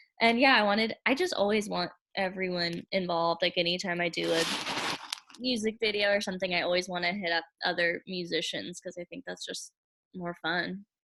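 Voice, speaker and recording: Speaking at a fairly quick pace with a slight country accent, a woman keeps a medium pitch and fairly even intonation. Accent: slight country twang. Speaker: singer-songwriter. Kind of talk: interview.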